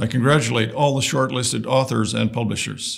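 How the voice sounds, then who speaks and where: A man talks at a moderate pace with vocal fry. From northern Saskatchewan, Canada. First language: Woodland Cree. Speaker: lieutenant governor. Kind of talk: recorded formal greeting. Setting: pre-recorded message. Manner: formal.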